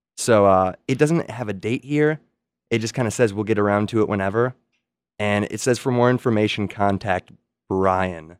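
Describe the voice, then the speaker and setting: A man with a normal speaking voice talks at a fairly low pitch and moderate pace with ordinary pitch variation. The very clean recording has a silent background and a dry, close sound with no echo. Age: 20s. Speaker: comedy segment performer. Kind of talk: improv comedy. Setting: studio.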